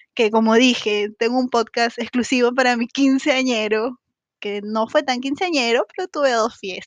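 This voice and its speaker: Speaking at a fairly slow pace, a woman has a high pitch, and the sound is dry and close with no echo. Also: ordinary pitch variation. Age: 30s. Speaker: podcaster. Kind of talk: casual monologue. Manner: animated.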